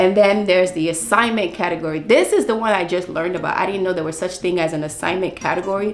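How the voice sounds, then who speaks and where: Over noticeable background noise and audible room echo, a woman talks at a very fast pace with hardly any pauses. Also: medium pitch for a woman, ordinary pitch variation. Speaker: book vlogger. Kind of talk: casual book review vlog. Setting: at home.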